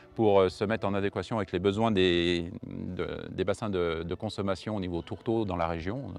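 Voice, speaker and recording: Against a quiet background, a man talks in an unremarkable speaking voice pitched fairly low. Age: 50s. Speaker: farmer. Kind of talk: testimony.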